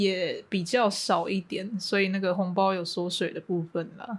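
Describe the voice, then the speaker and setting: The speaker talks at a fairly slow pace. It is delivered with a Taiwanese accent. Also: woman. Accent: Taiwanese Mandarin. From Taiwan, Hualien. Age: 20s. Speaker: university student. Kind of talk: casual chat. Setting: remote recording over voice channel.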